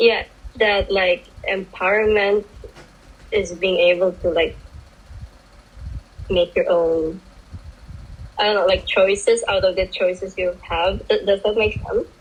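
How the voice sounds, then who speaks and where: Pausing long and often, a woman speaks with a non-native accent at a very even loudness. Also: fairly slow pace. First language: not English. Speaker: sex worker. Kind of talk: casual panel discussion. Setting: video call. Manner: halting.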